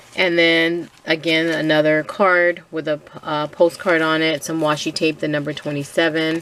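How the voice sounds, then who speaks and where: With hardly any pauses, a woman speaks at a moderate pace in a very deep, low pitch and a monotone, flat intonation. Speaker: crafter sharing a design team project. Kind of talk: craft tutorial walkthrough. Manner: hesitant with frequent fillers.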